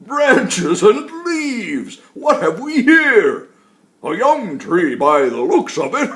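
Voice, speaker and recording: A man in a put-on character voice, extremely high in pitch, at a very slow pace. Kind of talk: bedtime story. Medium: read story. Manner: chuckling, slow and warm.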